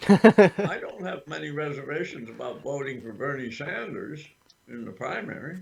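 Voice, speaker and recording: A somewhat breathy man's voice, fairly high in pitch, with lively intonation and big swings in loudness. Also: moderate pace. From Vermont. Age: 80s+. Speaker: political activist. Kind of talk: interview. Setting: livestream interview. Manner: halting.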